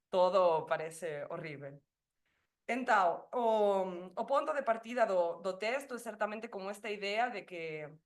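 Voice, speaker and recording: Speaking at medium pitch in a Spanish accent, a woman uses lively intonation, with big swings in loudness. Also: fairly slow pace. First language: Spanish (speaking Portuguese). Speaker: doctoral researcher. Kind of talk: academic presentation. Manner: halting.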